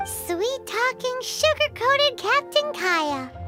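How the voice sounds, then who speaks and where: A squeaky put-on character voice at extremely high pitch speaks at a fairly slow pace over loud background music. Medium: video game. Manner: dry, curt.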